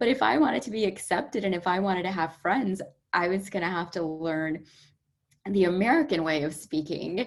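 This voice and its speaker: Her medium pitch and lively intonation come through on a very clean recording with a silent background as the woman speaks at a fairly quick pace. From London and Dallas, Texas. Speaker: career and soft skills coach. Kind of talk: podcast interview.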